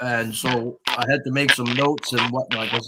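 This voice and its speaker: Someone talks at a moderate pace with fairly even intonation, in a normal speaking voice. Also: man. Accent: Canadian. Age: 60s. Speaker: comic book collector. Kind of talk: casual chat.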